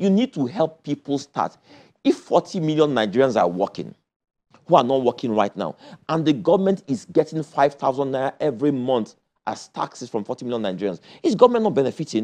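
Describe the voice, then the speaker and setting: This man's fairly high voice has a dark, mellow tone and vocal fry, swinging very widely in pitch at a fairly quick pace. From Nigeria (Kano, then Lagos). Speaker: presidential candidate. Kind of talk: political interview.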